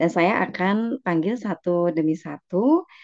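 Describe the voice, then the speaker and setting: With a plain, everyday voice, a woman speaks at a fairly low pitch with ordinary pitch variation, the sound dry and close with no echo and the background quiet. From West Java (Garut), Indonesia. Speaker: event moderator, lecturer. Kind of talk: meeting moderation.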